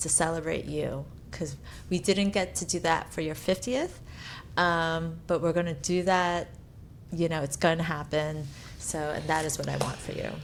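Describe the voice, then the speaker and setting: This woman has a normal speaking voice with a fairly low pitch. She talks at a moderate pace with fairly even intonation. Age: 50s. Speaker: podcast co-host. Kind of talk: casual chat.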